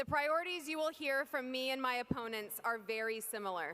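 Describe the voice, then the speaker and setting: In an American accent, a raised, projected voice with a bright, sharp tone moves at a moderate pace with ordinary pitch variation. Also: woman. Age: 20s. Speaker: political candidate. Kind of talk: political speech. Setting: stage with audience. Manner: formal.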